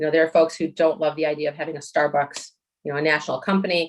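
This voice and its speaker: This is a woman speaking. Her pitch is fairly low. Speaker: applicant's representative at zoning hearing. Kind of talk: public hearing presentation. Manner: fast.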